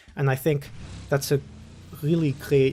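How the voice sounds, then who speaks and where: There's some breathiness in this man's voice. His pace is moderate. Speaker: podcast host. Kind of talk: casual monologue. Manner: halting; easy-going.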